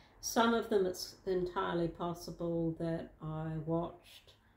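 The speaker has a New Zealand accent. The pace is very slow. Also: woman. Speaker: vlogger. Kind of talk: casual vlog. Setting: at home in lounge.

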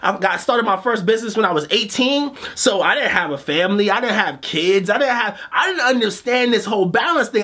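A man's raised, projected voice at a fairly quick pace, with very wide pitch swings. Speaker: motivational coach, show host. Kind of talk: motivational monologue to camera. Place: studio.

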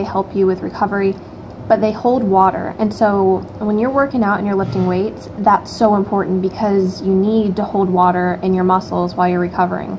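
At a moderate pace, a woman speaks with monotone, flat intonation amid noticeable background noise. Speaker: fitness vlogger. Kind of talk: casual vlog chat. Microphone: phone near.

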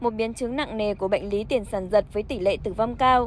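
A woman's fairly high voice at a very fast pace. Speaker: news reader. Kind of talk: news reading. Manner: formal.

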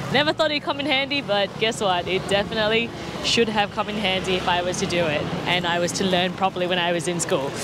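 Someone talks at a very fast pace while music plays in the background. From Australia. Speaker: travel vlogger. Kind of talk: travel vlog walkthrough. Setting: outdoors at a night market. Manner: animated.

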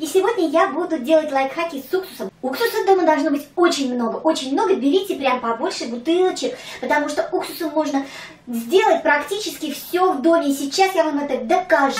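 Speech moves at a fairly quick pace, with audible room echo around it. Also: woman, extremely high pitch for a woman. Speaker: home tips vlogger. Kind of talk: tutorial. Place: home room. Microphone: camera far.

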